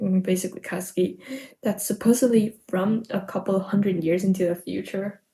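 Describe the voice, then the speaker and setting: With an American accent, a woman of medium pitch talks at a fairly quick pace with ordinary pitch variation. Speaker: podfic reader. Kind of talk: casual chat; reading aloud. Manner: halting with self-corrections.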